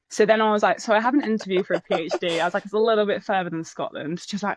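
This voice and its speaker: Talking at a very fast pace, a woman with an English accent uses a medium pitch and ordinary pitch variation. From England. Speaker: research commercialisation manager. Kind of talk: casual chat.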